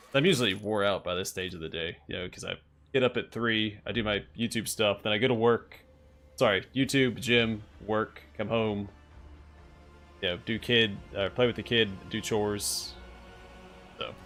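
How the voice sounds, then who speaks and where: A man speaks at a fairly low pitch with fairly even intonation, leaving long, frequent pauses while music plays in the background. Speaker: game streamer. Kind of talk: live gameplay stream chat. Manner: fast.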